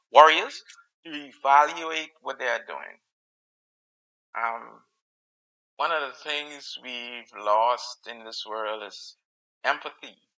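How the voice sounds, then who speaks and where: Speaking at a very slow pace with long, frequent pauses, a man with a Caribbean accent has a bright, sharp tone, ordinary pitch variation and big swings in loudness. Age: middle-aged. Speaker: podcast host. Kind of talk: solo podcast commentary. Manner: halting, many fillers and repetitions.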